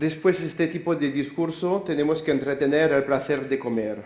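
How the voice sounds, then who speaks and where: A man's fairly high voice in a French accent at a moderate pace, with audible room echo. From France. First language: French (speaking Spanish). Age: 70s. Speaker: pastry chef. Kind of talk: conference talk.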